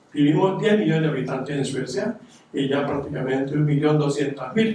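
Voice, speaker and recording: Amid noticeable background noise and audible room echo, a man with a fairly high pitch speaks at a moderate pace with ordinary pitch variation. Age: 80s+. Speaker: audience member, retired psychiatric aide. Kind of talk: audience comment at panel discussion.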